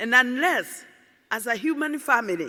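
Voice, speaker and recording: A woman's high, bright, sharp voice at a fairly slow pace, in a very clean recording with a silent background. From Kenya. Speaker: environmentalist. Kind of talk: conference speech.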